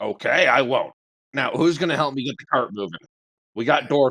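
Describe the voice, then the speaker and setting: A man's raspy, put-on character voice at a fairly quick pace. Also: fairly high pitch for a man. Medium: actual play. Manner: blunt, defensive.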